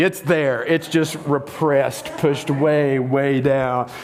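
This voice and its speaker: A man with a Southern US accent speaks against noticeable background noise. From US South. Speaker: pastor. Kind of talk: sermon. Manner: conversational, interactive.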